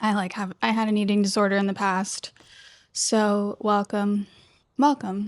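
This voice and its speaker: Against a quiet background, a woman speaks fairly slowly at a medium pitch with monotone, flat intonation. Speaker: tarot reader and spiritual content creator. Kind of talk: casual spiritual monologue. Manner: rambling, casual with fillers.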